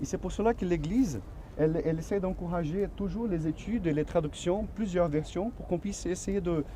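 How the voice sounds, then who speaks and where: With a Portuguese accent, a high-pitched man talks at a moderate pace in a room with audible echo. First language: Portuguese (speaking French). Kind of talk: religious teaching in a staged Q&A. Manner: halting, with repeated words.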